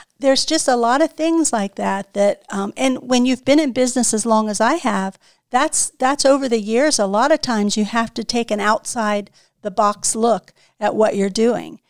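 Against a silent background in a very clean recording, a woman talks at a moderate pace in an ordinary speaking voice, with ordinary pitch variation. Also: fairly high pitch for a woman, dry, close sound with no echo. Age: 60s. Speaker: salon owner. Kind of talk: casual chat.

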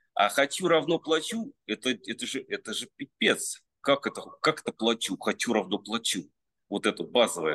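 At a moderate pace, a man speaks with a dry, close sound with no echo. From Russia, Penza region. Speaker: sculptor. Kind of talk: casual interview chat. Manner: halting, many fillers.

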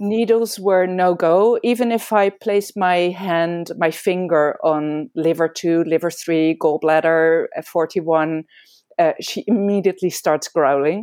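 Someone speaks at a fairly slow pace with a Dutch accent, and the pitch varies in an ordinary way. The background is quiet, and the sound is dry and close with no echo. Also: woman, fairly low pitch for a woman. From Amsterdam, Netherlands. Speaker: veterinarian and acupuncturist. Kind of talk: interview conversation. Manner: halting, with many fillers.

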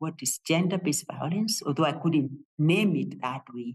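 A woman speaks with a very deep, low pitch and a somewhat breathy quality. Her pace is fairly slow and her intonation lively. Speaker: theology professor. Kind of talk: interview. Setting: office.

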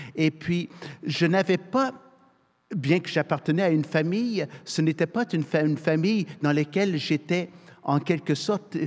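A man speaks at a fairly high pitch with ordinary pitch variation. It is an ordinary speaking voice. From Canada, military family moving yearly. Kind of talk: panel discussion.

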